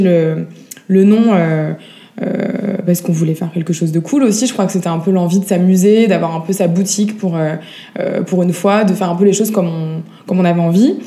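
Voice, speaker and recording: A woman talks at a fairly quick pace with a medium pitch and ordinary pitch variation. Noticeable background noise runs underneath. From France. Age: 30s. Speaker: vintage shop founder. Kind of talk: interview. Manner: hesitant, many fillers.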